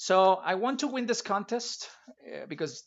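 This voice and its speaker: A man with a Spanish accent and ordinary pitch variation. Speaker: retro gaming streamer. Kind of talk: live gameplay stream commentary. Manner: halting, with repetitions.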